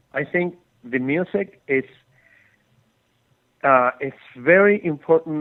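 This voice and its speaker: This man speaks with a Spanish accent. His pitch varies in an ordinary way. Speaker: film composer. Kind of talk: interview. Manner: halting, many fillers.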